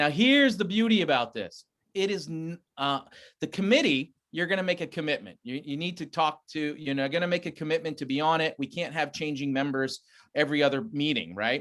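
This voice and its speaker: In a very clean recording with a silent background, a man talks at a fairly quick pace and fairly high pitch, with ordinary pitch variation. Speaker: school administrator. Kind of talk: public meeting presentation. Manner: fast.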